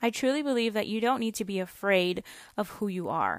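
Fairly high in pitch, a woman with an unremarkable speaking voice talks at a moderate pace. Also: very clean recording, silent background. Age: 20s. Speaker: podcast host. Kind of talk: casual monologue. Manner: frequent laughter.

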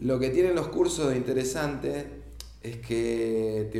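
The speech moves at a fairly slow pace with ordinary pitch variation, over noticeable background noise and audible room echo. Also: man. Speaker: photographer and photography teacher. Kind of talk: casual chat.

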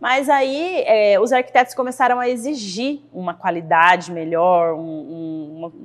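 A woman talks at a fairly slow pace with a fairly high pitch. Her pitch swings very widely. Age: 30s. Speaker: carpentry business owner, architect. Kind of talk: interview.

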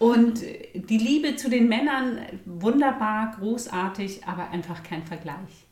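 Over noticeable background noise and audible room echo, a woman speaks at a fairly slow pace, her fairly high pitch carried by lively intonation. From Bavaria, mountain village. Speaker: midwife and hypnobirthing teacher. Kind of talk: podcast interview.

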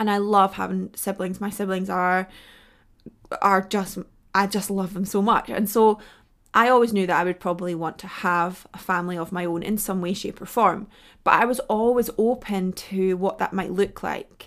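A woman with a plain, everyday voice talks at a moderate pace, medium pitch and fairly even intonation on a very clean recording with a silent background. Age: 30s. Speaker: podcast host and nutritionist. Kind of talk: solo podcast monologue.

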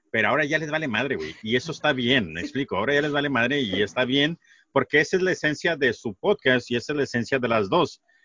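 A man's ordinary speaking voice, medium-pitched and lively in intonation, at a fairly quick pace. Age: 40s. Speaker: podcaster. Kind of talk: casual chat.

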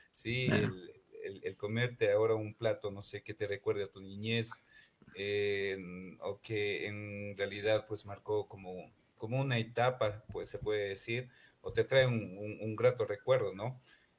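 This man's fairly low voice is monotone and flat, somewhat breathy, and fairly slow, with big swings in loudness. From Ecuador, Imbabura (Ibarra). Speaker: chef. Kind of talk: radio interview. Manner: hesitant, many repetitions.

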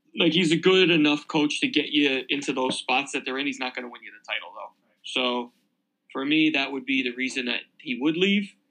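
This man's bright, sharp voice shows big swings in loudness. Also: fairly high pitch for a man, ordinary pitch variation. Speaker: co-host. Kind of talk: casual banter chat about football.

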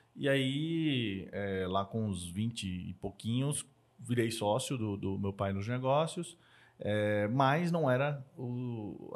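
A man speaks in an ordinary speaking voice at medium pitch. His intonation is lively. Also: very clean recording, silent background. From Brazil, Northeast (Maceió, Alagoas). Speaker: entrepreneur and angel investor. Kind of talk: casual interview chat.

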